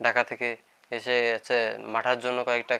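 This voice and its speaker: With a bright, sharp tone, a man speaks at a medium pitch. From Bangladesh, Khulna district (Paikgachha). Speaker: pottery YouTuber. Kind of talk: live stream chat.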